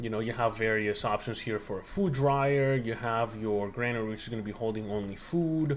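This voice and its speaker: With a non-native accent, a man speaks at a fairly quick pace with hardly any pauses, in a medium pitch with ordinary pitch variation. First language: not English. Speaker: video game reviewer. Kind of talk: gameplay review commentary. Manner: casual, with filler words and self-corrections.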